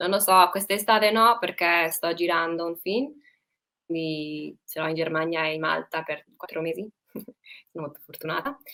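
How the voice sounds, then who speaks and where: A woman's bright, sharp tone at a fairly low pitch, with ordinary pitch variation and long, frequent pauses. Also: moderate pace. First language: English (speaking Italian). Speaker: actress. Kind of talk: interview. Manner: halting, with fillers and self-corrections.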